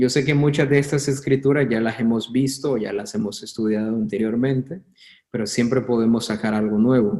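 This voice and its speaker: A man speaks at a medium pitch with a dark, mellow tone. His pitch variation is ordinary, and his pace is moderate. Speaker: bible teacher. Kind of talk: online bible class. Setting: online video class.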